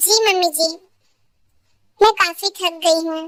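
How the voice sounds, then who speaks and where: Using a put-on character voice at an extremely high pitch, a woman speaks with fairly even intonation at a moderate pace. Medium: fan dub. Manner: soft-spoken, respectful.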